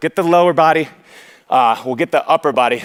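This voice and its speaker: At a fairly quick pace, a man with a fairly high pitch speaks in an energetic tone, the sound dry and close with no echo. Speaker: fitness trainer. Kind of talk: workout instruction. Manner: loud.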